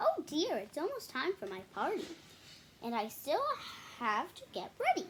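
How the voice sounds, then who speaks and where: In a put-on character voice, a woman speaks at an extremely high pitch with very wide pitch swings and long, frequent pauses, over clear background noise. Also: moderate pace. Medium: read story. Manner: cheerful, a bit jumpy.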